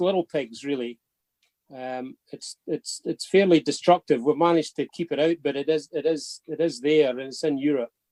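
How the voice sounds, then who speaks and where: A man with a Scottish accent, a fairly high pitch and dark, mellow tone, ordinary pitch variation and a moderate pace, in a dry, close sound with no echo. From Scotland. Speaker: pig industry traceability expert. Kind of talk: webinar talk. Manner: repeats words, halting in places.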